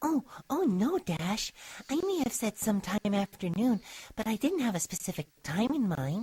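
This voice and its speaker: This female-sounding voice is a put-on character voice at a fairly high pitch. It moves at a moderate pace. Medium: read story. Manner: soft-spoken, gentle.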